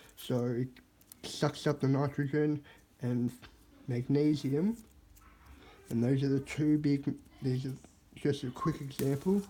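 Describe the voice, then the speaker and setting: A somewhat breathy man's voice at a fairly high pitch, dark and mellow in tone, with very even loudness and long, frequent pauses. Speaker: hobby gardener vlogger. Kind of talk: casual video tutorial. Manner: halting, self-correcting.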